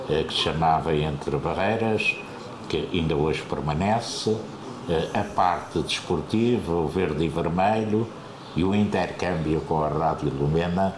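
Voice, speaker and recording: A man with a very deep, low pitch talks at a fairly slow pace with very even loudness and ordinary pitch variation, amid noticeable background noise and audible room echo. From Azores, Terceira island. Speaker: retired radio broadcaster. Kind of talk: interview. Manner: hesitant, many fillers.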